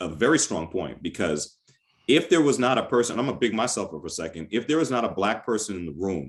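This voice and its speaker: The background stays quiet. A man's pitch swings very widely as he talks. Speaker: radio host. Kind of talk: panel discussion moderator.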